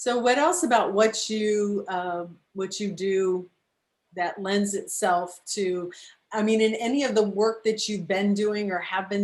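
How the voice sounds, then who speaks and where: The speaker uses a plain, everyday voice at a fairly slow pace. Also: woman. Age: 60s. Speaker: talk show host. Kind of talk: interview.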